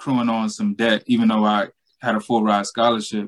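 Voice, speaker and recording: A man with a Southern US accent speaks at a medium pitch in a monotone, flat intonation. The sound is dry and close, with no echo. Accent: Southern US (Georgia). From US South, Southeast Georgia. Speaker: money coach, former college football player. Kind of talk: casual interview.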